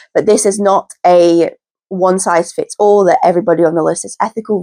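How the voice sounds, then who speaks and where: This woman has a British accent and a medium pitch. Her tone is dark and mellow, and the sound is dry and close with no echo. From UK. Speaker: pet rat keeper and YouTuber. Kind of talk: informational talk to camera. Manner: casual, repetitive emphasis.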